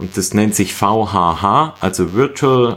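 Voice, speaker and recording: A man with a fairly low pitch talks at a very slow pace with lively intonation. The recording is very clean, with a silent background. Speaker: running podcast host. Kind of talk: casual chat.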